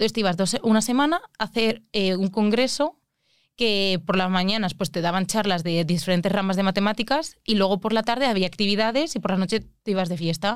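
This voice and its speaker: A woman speaks at a fairly quick pace and medium pitch, with ordinary pitch variation. It is an unremarkable speaking voice. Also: very clean recording, silent background. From Spain, Alicante. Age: 20s. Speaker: mathematician. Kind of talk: casual chat.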